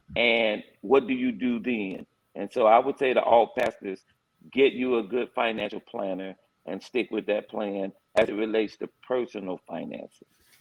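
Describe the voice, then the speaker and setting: A man with a plain, everyday voice speaks at a moderate pace, his pitch medium and his intonation fairly even. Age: 60s. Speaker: pastor. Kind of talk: panel discussion.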